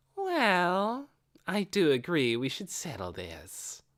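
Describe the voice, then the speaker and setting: A put-on character voice at middle pitch speaks at a very slow pace. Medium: read story. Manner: sneering, taunting.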